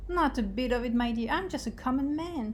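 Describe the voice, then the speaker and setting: A shaky, put-on character voice from a woman, high in pitch and fairly quick in pace, over clear background noise. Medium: read story. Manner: meek, trembling.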